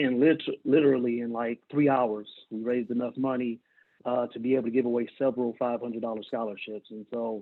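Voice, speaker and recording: A man with a plain, everyday voice, an American accent and fairly even intonation. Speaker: scholarship organizer. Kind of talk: video call ceremony speech. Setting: video call.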